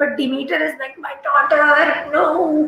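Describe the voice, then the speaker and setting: This is a woman's voice. She speaks in a raised, projected way. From India. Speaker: livestream host and writing coach. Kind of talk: solo livestream talk. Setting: live video stream.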